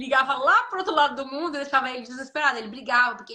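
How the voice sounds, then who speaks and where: A woman's raised, projected voice at a very fast pace. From Brazil, Espírito Santo. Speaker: nurse. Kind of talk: interview on a live stream. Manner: swallows words.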